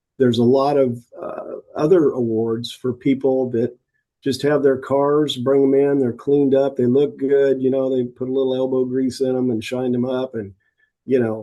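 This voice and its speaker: A man's medium-pitched voice, dark and mellow in tone, at a moderate pace. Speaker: car show organizer and judge. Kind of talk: casual interview. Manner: halting, repeats words.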